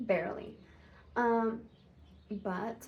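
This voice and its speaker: A somewhat breathy woman's voice, medium in pitch, with monotone, flat intonation. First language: Spanish. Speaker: vlogger. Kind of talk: casual vlog monologue. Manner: casual, hesitant with fillers.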